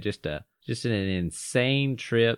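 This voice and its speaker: This man talks with a Southern US accent. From North Georgia. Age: 20s. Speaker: podcast host. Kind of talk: casual chat.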